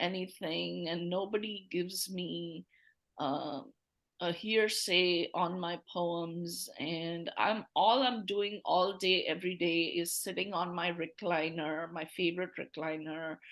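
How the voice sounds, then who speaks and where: The speech is very slow and has a Tamil accent. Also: woman, fairly low pitch for a woman, fairly even intonation. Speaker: poet. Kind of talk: casual chat. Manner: halting.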